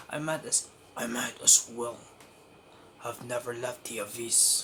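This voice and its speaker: A man's put-on character voice at a medium pitch and fairly slow pace, with clear background noise. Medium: read story. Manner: arrogant, contemptuous.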